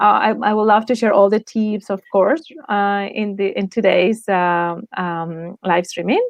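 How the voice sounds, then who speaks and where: A woman with a Spanish accent, medium pitch, fairly even intonation and a fairly slow pace. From Spain. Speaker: lifestyle design coach. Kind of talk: interview.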